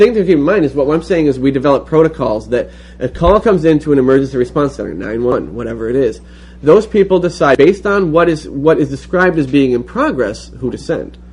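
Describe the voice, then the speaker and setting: A man's fairly high-pitched voice with vocal fry at a very fast pace. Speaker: political activist leading a classroom discussion. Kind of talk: classroom lecture / discussion.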